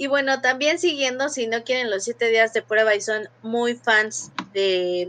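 At a fairly slow pace, a woman speaks with a high pitch and ordinary pitch variation. Her tone is bright and sharp. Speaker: podcast co-host. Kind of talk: casual chat.

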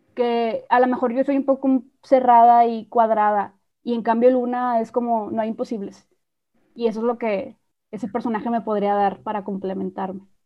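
Using a plain, everyday voice, a woman with a fairly high pitch talks at a moderate pace with fairly even intonation. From Mexico. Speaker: podcast host. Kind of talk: casual chat.

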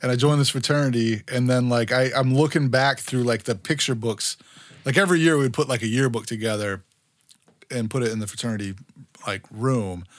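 With an American accent, a man talks at a fairly quick pace in a normal speaking voice. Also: very clean recording, silent background. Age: 40s. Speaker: podcast host. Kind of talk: casual chat.

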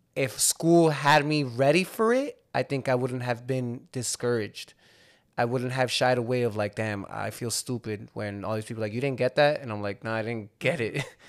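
In a very clean recording with a silent background, a man speaks at a medium pitch with a New Jersey accent. His pace is moderate and his pitch varies in an ordinary way. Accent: New Jersey American. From Hudson County, New Jersey. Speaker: podcast host. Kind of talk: casual chat.

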